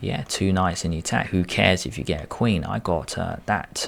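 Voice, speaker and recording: This man has a very deep, low pitch. His voice shows vocal fry. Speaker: chess youtuber. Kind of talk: tutorial. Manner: animated.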